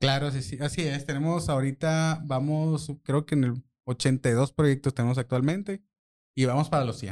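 A plain, everyday voice at a moderate pace with ordinary pitch variation, dry and close with no echo, over a quiet background. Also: man, fairly high pitch for a man. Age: 40s. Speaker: social media marketer. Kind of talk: casual chat.

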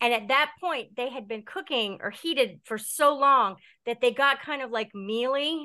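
A high-pitched woman with an American accent in a raised, projected voice, bright and sharp in tone, at a moderate pace with ordinary pitch variation against a quiet background. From Delaware, US. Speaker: horror author. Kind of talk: casual chat.

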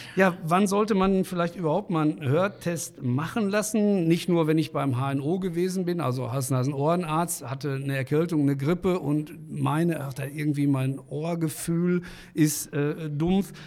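This man has an unremarkable speaking voice, fairly high in pitch, with ordinary pitch variation, a moderate pace and hardly any pauses. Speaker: podcast host. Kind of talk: interview. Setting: studio. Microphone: large studio microphone.

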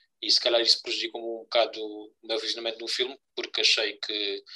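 A man's bright, sharp tone at a moderate pace. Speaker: podcast co-host, film reviewer. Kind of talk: casual chat.

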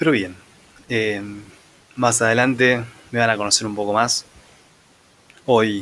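Speaking fairly slowly with a Rioplatense accent, this voice keeps a fairly even intonation. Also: man. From Argentina, Buenos Aires conurbano. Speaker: podcast host. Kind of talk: improvised solo monologue. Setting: home next to railway tracks.

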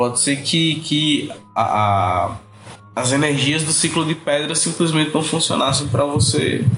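Noticeable background noise sits behind a man with a fairly high pitch. He talks at a fairly slow pace, with ordinary pitch variation and very even loudness. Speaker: podcast guest. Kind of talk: casual chat.

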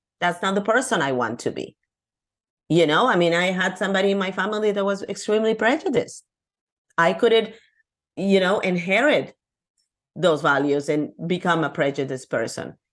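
A woman with a Peruvian accent talks at a fairly quick pace and medium pitch, her lively intonation broken by long, frequent pauses. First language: Spanish. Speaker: abundance coach. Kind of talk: casual interview chat.

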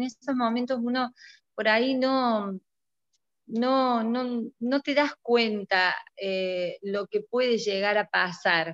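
A woman in an Argentine accent at a very slow pace, ordinary pitch variation, in a dry, close sound with no echo. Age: 50s. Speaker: retired chemistry teacher and school principal. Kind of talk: casual interview.

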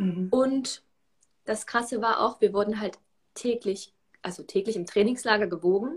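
A woman with a fairly high pitch talks at a moderate pace, somewhat breathy, with ordinary pitch variation. She leaves long, frequent pauses. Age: 20s. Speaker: self-love coach and former swimmer. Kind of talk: interview.

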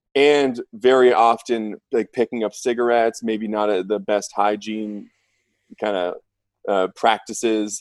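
On a very clean recording with a silent background and a dry, close sound with no echo, a man with an ordinary speaking voice speaks at medium pitch, at a fairly slow pace, with fairly even intonation. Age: 20s. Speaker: medical device sales rep. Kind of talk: casual chat.

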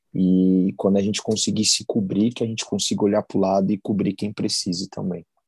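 Speaking at a fairly quick pace with hardly any pauses, a man with a fairly low voice keeps a monotone, flat intonation in a dry, close sound with no echo. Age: 30s. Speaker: hardcore band vocalist. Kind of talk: casual interview chat.

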